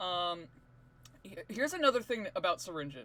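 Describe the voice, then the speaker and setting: Raising and projecting his voice, a high-pitched man with a bright, sharp tone speaks at a moderate pace through very wide pitch swings. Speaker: drawing tutorial creator. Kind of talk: tutorial. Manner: casual, halting with many fillers.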